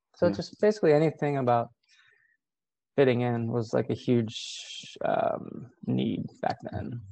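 Soft-spoken, a man talks at a fairly slow pace. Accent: American. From rural Ohio, US Midwest. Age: 40s. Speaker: therapist. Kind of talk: casual interview chat. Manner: reflective.

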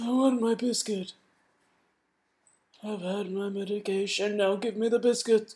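A female-sounding voice puts on a character voice at medium pitch and a moderate pace, with long, frequent pauses. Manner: grumpy, demanding.

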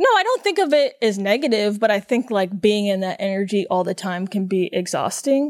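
A woman's unremarkable speaking voice at medium pitch, fairly quick in pace and with hardly any pauses. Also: ordinary pitch variation. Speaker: podcast host. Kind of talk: casual chat. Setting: studio.

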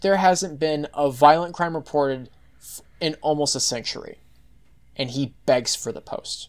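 In a very clean recording with a silent background, a man with an American accent talks fairly slowly at a fairly high pitch with ordinary pitch variation. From Texas. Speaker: podcast guest. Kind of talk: casual chat. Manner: halting, many false starts.

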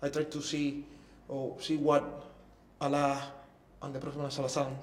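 With a Cuban accent, a man speaks at a moderate pace in a fairly high pitch, over noticeable background noise. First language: Spanish. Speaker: former professional musician. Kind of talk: interview testimony. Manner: halting.

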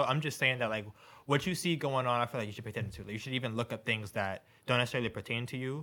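A man with an American accent speaks very fast in a medium pitch and a bright, sharp tone, on a very clean recording with a silent background. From New York. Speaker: podcast co-host. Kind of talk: casual chat.

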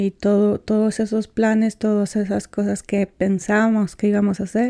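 A fairly slow, monotone voice with flat intonation and a dark, mellow tone, in a dry, close sound with no echo and a very clean recording over a silent background. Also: woman. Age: 40s. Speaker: undocumented immigrant. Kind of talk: interview testimony. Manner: halting.

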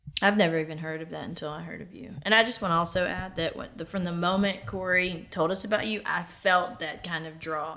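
Over noticeable background noise, a woman with an American accent talks at a fairly low pitch and a fairly quick pace, with ordinary pitch variation, hardly any pauses and big swings in loudness. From US South (Alabama). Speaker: co-interviewer. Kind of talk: casual interview.

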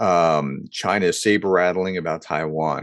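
Over a quiet background, a man speaks at a moderate pace. His pitch is very deep and low, and his intonation fairly even. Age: 40s. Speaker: management professor and podcast host. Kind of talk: solo podcast commentary. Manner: casual with many fillers.

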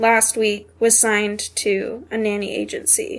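An unremarkable speaking voice from a woman, fairly high in pitch, with fairly even intonation, on a very clean recording with a silent background. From North Carolina, Asheville. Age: 20s. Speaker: nanny. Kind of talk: personal testimony interview.

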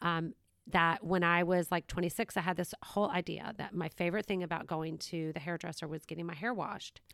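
On a very clean recording with a silent background and a dry, close sound with no echo, a woman with an American accent uses an ordinary speaking voice at a fairly low pitch, keeping a fairly even intonation at a fairly quick pace. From US South, Savannah, Georgia. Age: 50s. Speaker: podcast host. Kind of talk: casual chat.

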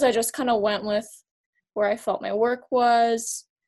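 This woman has a plain, everyday voice with a fairly high pitch. She speaks at a moderate pace. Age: 20s. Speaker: photographer. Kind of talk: casual chat.

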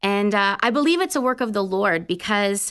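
A woman with a normal speaking voice and lively intonation, over a quiet background. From Canada. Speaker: Salvation Army officer. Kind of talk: faith testimony. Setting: studio.

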